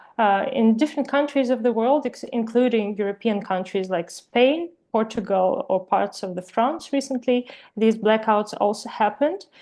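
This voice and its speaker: Speaking with a Ukrainian accent, a woman has a fairly high pitch and a dark, mellow tone. She keeps a moderate pace with ordinary pitch variation. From Ukraine. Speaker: webinar presenter, Wikipedia editor. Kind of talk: webinar presentation. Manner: halting, many fillers.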